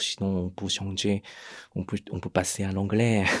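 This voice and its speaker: On a very clean recording with a silent background, a man with a Korean accent speaks in a very deep, low voice with fairly even intonation. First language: Korean (speaking French). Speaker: podcast co-host. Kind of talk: casual discussion. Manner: halting, many fillers.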